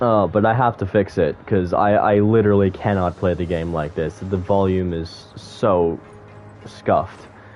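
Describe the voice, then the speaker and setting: A man with a fairly low pitch and fairly even intonation at a moderate pace, music in the background. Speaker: gaming streamer. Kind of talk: casual chat. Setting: live stream. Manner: halting, many fillers.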